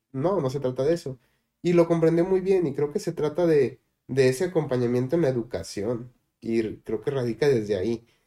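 At a moderate pace, a man with a fairly high pitch and a dark, mellow tone speaks with lively intonation. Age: 20s. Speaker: agronomist. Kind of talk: panel discussion.

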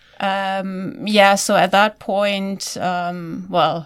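The background is silent and the recording very clean. A woman talks in a German accent. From Germany. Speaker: virologist. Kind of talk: interview.

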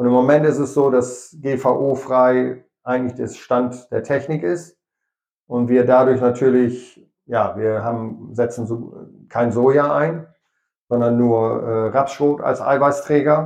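In a medium pitch, a man speaks at a very slow pace with fairly even intonation. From East Frisia, Rheiderland. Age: 50s. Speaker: dairy farmer and YouTuber. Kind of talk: interview.

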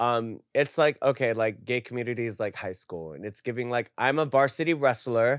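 A man with an unremarkable speaking voice talks at a moderate pace and medium pitch, with ordinary pitch variation and hardly any pauses, in a very clean, dry, close recording with a silent background and no echo. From Puerto Rican heritage, lived in New Jersey. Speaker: adult content creator. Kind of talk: casual chat. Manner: filler-heavy speech.

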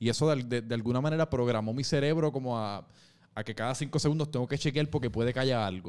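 A man speaks at a very fast pace with a Puerto Rican accent. The recording is very clean, with a silent background. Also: medium pitch for a man, ordinary pitch variation. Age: 20s. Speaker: podcast host. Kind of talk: casual chat.

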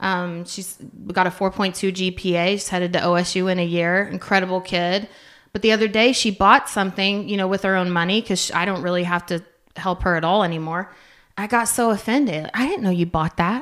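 With an American accent, a woman talks at a fairly quick pace in a normal speaking voice of medium pitch, her intonation fairly even, on a very clean recording with a silent background. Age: 40s. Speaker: career training school staff. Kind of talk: casual interview.

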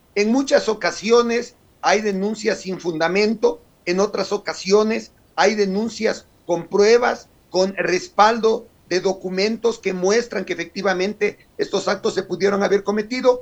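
Noticeable background noise sits under fairly even intonation and a fairly slow pace. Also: man, high pitch for a man. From Ecuador, Carchi province. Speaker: legislator. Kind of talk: radio interview. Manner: formal.

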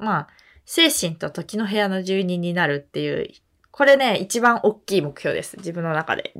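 A woman speaks at medium pitch. Her pitch swings very widely. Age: 20s. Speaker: podcast co-host. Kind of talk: casual chat. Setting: remote recording over video call.

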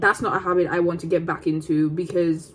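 Her voice sits at a medium pitch for a woman. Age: 20s. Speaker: podcast host, student. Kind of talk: casual solo vlog-style chat. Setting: at home, eating on camera. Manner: casual, rambling with fillers.

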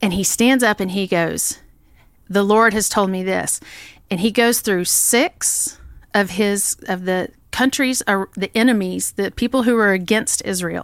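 On a very clean recording with a silent background, a woman speaks at a fairly slow pace in a medium pitch with ordinary pitch variation. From Oklahoma. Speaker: church women's ministry leader. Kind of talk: Bible study discussion.

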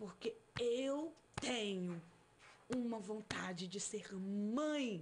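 Pitch swings very widely as this woman talks. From Brasília, Brazil. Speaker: missionary preacher. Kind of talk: testimony. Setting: studio.

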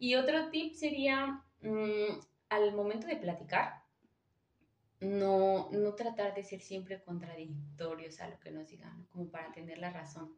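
A woman with a Mexican accent talks at a fairly slow pace. Her pitch swings very widely and her loudness rises and falls sharply. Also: medium pitch for a woman. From Michoacán, Mexico. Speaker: graduate student. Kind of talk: casual chat.

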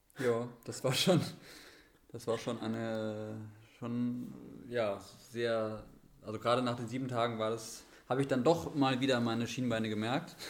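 Amid audible room echo, a man talks at a fairly slow pace with long, frequent pauses, his medium-pitched voice fairly even in intonation. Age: 30s. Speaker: runner and sled dog sports enthusiast. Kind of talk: casual chat. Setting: physio practice, remote podcast.

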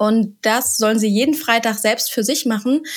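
A woman with an unremarkable speaking voice, fairly high pitch and fairly even intonation. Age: 30s. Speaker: vocational school teacher. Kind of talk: podcast interview.

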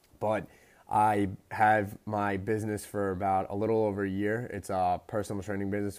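On a very clean recording with a silent background, a man with an American accent speaks quickly enough, at a fairly low pitch, in a monotone, flat intonation. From US Northeast, Long Island. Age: 20s. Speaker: podcast host and personal trainer. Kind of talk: casual monologue. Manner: casual, filler-heavy.

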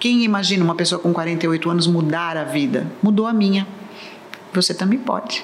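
Amid noticeable background noise and audible room echo, a woman with a fairly low pitch talks at a moderate pace with ordinary pitch variation. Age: 60s. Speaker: English teacher and cruise tour guide. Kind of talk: casual chat.

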